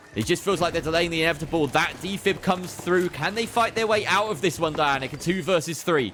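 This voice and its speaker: Speaking in a high pitch with ordinary pitch variation, a man races along at a very fast pace with hardly any pauses. His loudness stays very even, and there is noticeable background noise. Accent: British. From Britain. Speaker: esports caster. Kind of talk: live commentary. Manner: animated.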